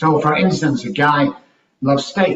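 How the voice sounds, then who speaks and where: A man with an English accent talks at a moderate pace. His voice is fairly high and somewhat breathy. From Manchester, England. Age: 60s. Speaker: life coach and speaker. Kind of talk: podcast interview.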